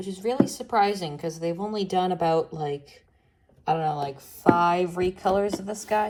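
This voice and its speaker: A woman speaks in a plain, everyday voice at medium pitch with ordinary pitch variation. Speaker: voice actor. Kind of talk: casual toy unboxing and review talk.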